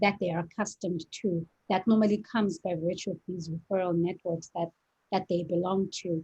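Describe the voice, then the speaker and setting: With an American accent, a woman speaks at a moderate pace in a medium, somewhat breathy voice, her intonation fairly even and the sound dry and close with no echo. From South Africa. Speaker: lawyer and startup co-founder. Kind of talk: interview.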